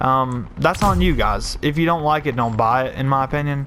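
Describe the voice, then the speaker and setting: With music in the background, a man speaks at a fairly quick pace with ordinary pitch variation. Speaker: gaming YouTuber. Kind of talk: live gameplay commentary rant. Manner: casual, conversational.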